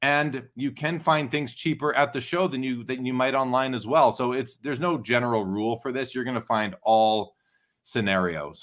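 A man with an unremarkable speaking voice talks at a medium pitch and moderate pace, with ordinary pitch variation. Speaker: sports card hobby expert and auction host. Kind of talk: interview conversation.

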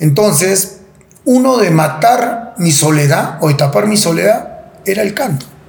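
There is noticeable background noise and audible room echo. A man speaks fairly slowly in a high voice. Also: lively intonation. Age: 40s. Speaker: former football goalkeeper. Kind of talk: interview.

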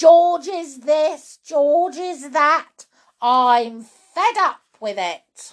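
A woman shouts in a put-on character voice at a high pitch. She goes at a very slow pace with lively intonation.

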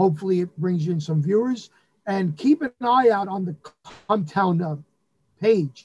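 With a New York accent, a man with a high pitch and ordinary pitch variation speaks at a fairly slow pace in a dry, close sound with no echo. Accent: New York (Bronx). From New York, the Bronx. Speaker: Elvis impersonator and venue owner. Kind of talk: casual chat.

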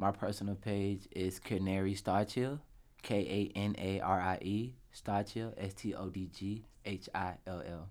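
On a very clean recording with a silent background, a man with a fairly low pitch speaks fairly slowly in a monotone, flat intonation. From US South, Atlanta, Georgia. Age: 20s. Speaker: photographer and creative director. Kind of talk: casual chat.

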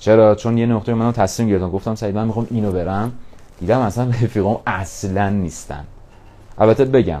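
A man is speaking. His tone is energetic. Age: 20s. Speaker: podcaster. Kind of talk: motivational monologue. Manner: casual, energetic.

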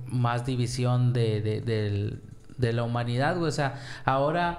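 Fairly slow, fairly even speech from a man at medium pitch, with audible room echo. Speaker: podcast co-host. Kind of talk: casual chat.

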